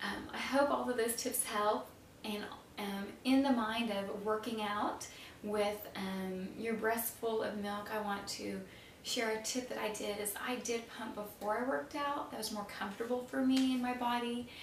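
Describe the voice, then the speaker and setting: A woman speaks at a moderate pace with ordinary pitch variation. Light background noise and audible room echo surround her voice. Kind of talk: casual advice talk to camera. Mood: warm, friendly. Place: home room.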